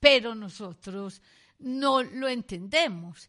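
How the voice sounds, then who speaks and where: A woman's bright, sharp tone with ordinary pitch variation against a quiet background. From Colombia. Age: 60s. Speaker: economist and university researcher. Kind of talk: educational interview.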